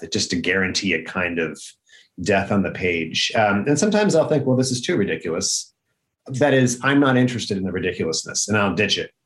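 A man with an ordinary speaking voice talks fairly quickly at a fairly low pitch, his intonation lively. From upstate New York. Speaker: novelist and professor. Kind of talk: casual chat. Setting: video call.

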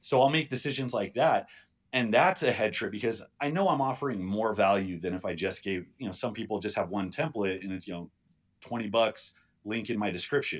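In a plain, everyday voice, a man talks at a fairly quick pace with a fairly low pitch and lively intonation, on a very clean recording with a silent background. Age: 30s. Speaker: strongman competitor and strength coach. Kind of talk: casual chat.

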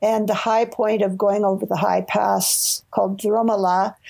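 There is noticeable background noise as a woman of medium pitch speaks in a flat monotone at a fairly slow pace. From Toronto, Canada. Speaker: retired educator and travel writer. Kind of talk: casual interview, storytelling.

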